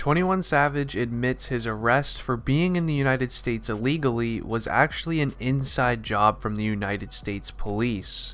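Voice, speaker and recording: An ordinary speaking voice, a man's at medium pitch, moves at a moderate pace with ordinary pitch variation. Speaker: commentary YouTuber. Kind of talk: casual talk to camera.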